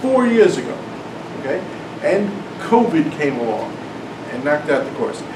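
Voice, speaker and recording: A man talks at a fairly quick pace with lively intonation. Audible room echo and noticeable background noise surround him. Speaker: math professor and author giving a talk. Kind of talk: lecture. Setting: classroom talk with live audience. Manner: loud, yelling over air conditioner.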